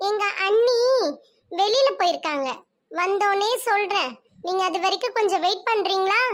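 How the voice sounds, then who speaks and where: Pitched extremely high, a female-sounding cartoonish character voice speaks at a fairly slow pace. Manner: brash, questioning.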